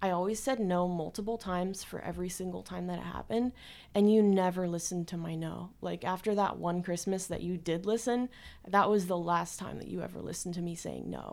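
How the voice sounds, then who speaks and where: Fairly low in pitch with fairly even intonation, a woman talks at a fairly quick pace in an ordinary speaking voice, recorded very cleanly against a silent background. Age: 20s. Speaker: university student. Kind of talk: interview testimony. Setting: studio.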